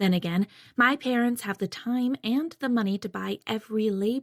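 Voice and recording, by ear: The reading aloud is in a natural voice, with ordinary pitch variation.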